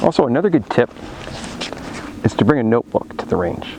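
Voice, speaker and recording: Background noise is clearly noticeable. The speaker is a man. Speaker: firearms instructor YouTuber. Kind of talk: tutorial. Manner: slurring words at times.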